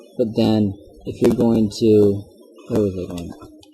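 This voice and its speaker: Music in the background behind a man's fairly low voice, at a fairly slow pace and in a monotone, flat intonation. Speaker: game engine tutorial maker. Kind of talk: software tutorial narration. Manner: casual, rambling.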